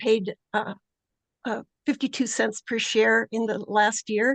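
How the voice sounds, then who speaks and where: The voice has vocal fry and fairly even intonation, moving at a fairly slow pace in a dry, close sound with no echo. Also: woman. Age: 70s. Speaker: public commenter. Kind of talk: public comment at hearing. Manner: halting, many fillers.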